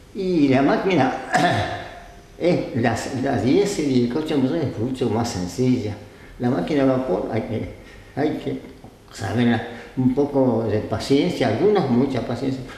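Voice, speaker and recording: A man of medium pitch speaks fairly slowly with lively intonation and long, frequent pauses, over noticeable background noise. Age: 80s+. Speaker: retired railway engine driver. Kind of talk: interview answer.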